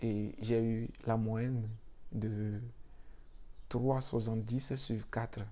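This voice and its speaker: Over audible room echo, a man speaks at a very slow pace in a medium pitch with a dark, mellow tone. His intonation is flat and monotone, his loudness very even, and his pauses long and frequent. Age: young. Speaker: YouTuber giving visa advice. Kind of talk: motivational talk to viewers. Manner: hesitant, repeats words.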